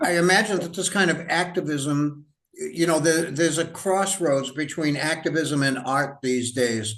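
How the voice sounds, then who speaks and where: At a moderate pace, a man with a fairly high pitch talks in an unremarkable speaking voice with ordinary pitch variation. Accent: American. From United States. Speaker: writer and historian interviewer. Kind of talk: interview conversation.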